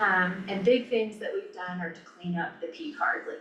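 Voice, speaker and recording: A woman's moderate-paced speech is heard with audible room echo and noticeable background noise. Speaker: county finance officer. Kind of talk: presentation at a government work session.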